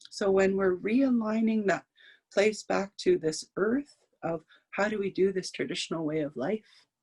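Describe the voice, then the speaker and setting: Heard in a dry, close sound with no echo, a woman speaks fairly slowly at a medium pitch with lively intonation. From northern Saskatchewan, Canada. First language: Cree. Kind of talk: talk. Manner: halting, repetitive.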